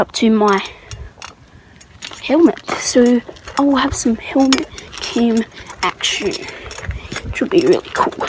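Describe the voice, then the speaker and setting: Against noticeable background noise, a woman with an Australian accent speaks at a high pitch and a fairly slow pace, with lively intonation and long, frequent pauses. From Australia, Tasmania. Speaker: beginner bike vlogger. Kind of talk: casual vlog while riding. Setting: outdoors on a bike.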